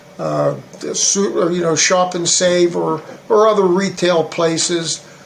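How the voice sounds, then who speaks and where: With an American accent, a man talks in a high pitch and a flat, monotone delivery over noticeable background noise. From western Pennsylvania. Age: 60s. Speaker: political candidate. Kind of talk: interview. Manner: halting, many fillers.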